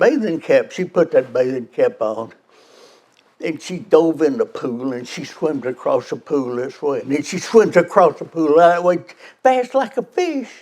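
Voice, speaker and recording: A man speaks with a Memphis accent and very wide pitch swings. His pace is fairly slow. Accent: Southern US (Memphis). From US South, Memphis, Tennessee. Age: 90s. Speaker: car club member telling a story. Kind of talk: storytelling, joke. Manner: halting, repeats words.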